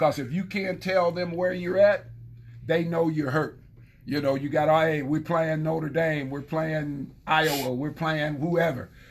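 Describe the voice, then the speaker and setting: A man with an ordinary speaking voice, fairly high in pitch, at a fairly slow pace with fairly even intonation. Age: 60s. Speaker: former football player. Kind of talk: casual chat.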